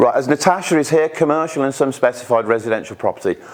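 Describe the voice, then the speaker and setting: A man's voice amid noticeable background noise. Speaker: pension expert speaker. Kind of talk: presentation to live audience. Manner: halting, frequent repetitions.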